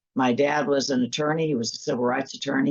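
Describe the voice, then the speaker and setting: The voice has a Midwestern US accent and fairly even intonation. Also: woman. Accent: US Midwest. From Kansas. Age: 60s. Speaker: church attorney. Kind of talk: interview.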